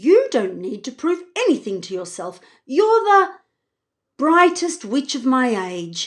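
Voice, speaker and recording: A woman performs a put-on character voice, high-pitched and with very wide pitch swings. She goes at a fairly slow pace over a quiet background. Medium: read story. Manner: warm, encouraging.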